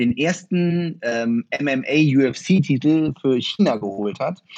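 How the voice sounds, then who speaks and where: A man's voice, fairly high in pitch. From northern Germany, Osnabrück. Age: 30s. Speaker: martial arts practitioner. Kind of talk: interview. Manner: halting, many fillers.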